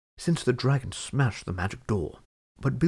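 With lively intonation over a quiet background, the speaker uses an unforced reading voice.

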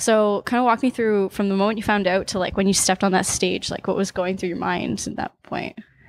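With a Canadian accent, a woman speaks at a fairly quick pace with hardly any pauses, fairly even intonation and a medium pitch. It is a plain, everyday voice, recorded dry with no echo. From Niagara Falls, Ontario, Canada; Ontario, Canada. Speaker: music interviewer. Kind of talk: casual interview. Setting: backstage before a concert. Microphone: handheld.

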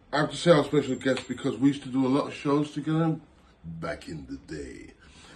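The man's voice is somewhat breathy. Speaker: host of informal home show. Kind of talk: casual show hosting chat. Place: home room. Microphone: phone near.

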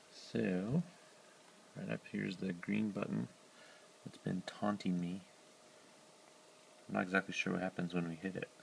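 The speaker leaves long, frequent pauses. Light background noise can be heard. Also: man, moderate pace. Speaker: project creator. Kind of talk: casual talk to camera. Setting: indoors at home at night. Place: home room. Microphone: phone near.

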